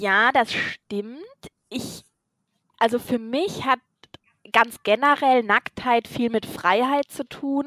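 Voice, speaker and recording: A woman with a high voice speaks very slowly, leaving long and frequent pauses, her tone bright and sharp, her pitch moving in an ordinary way, and the sound dry and close with no echo. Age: 30s. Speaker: podcast co-host. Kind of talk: casual chat.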